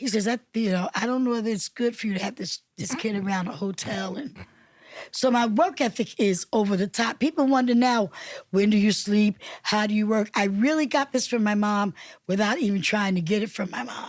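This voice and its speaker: A woman with an American accent speaks fairly quickly in a normal speaking voice, fairly high in pitch with ordinary pitch variation. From Newark, New Jersey. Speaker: city council member and minister. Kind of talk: interview.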